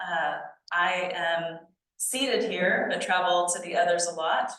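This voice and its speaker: Heard with audible room echo, a woman speaks at a medium pitch. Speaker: archaeology nonprofit leader giving a talk. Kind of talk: lecture. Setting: society meeting with audience. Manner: halting with fillers.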